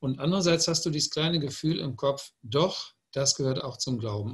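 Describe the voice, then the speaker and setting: Over a quiet background, a man talks at a moderate pace in a somewhat breathy voice with ordinary pitch variation. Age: 60s. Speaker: publisher. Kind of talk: panel discussion.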